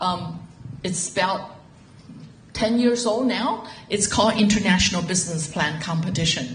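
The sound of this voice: A woman speaks in a fairly low voice. Her words carry some audible room echo. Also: ordinary pitch variation, moderate pace.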